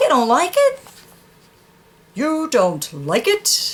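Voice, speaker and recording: A high-pitched, put-on character voice moves at a very slow pace. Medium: read story. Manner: blunt, matter-of-fact.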